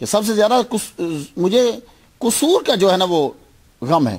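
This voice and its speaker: A man speaks in a high pitch with very wide pitch swings over a quiet background. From Pakistan, Lahore; Pakistan. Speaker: Islamic scholar and preacher; preacher. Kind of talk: religious lecture. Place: home room. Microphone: podium.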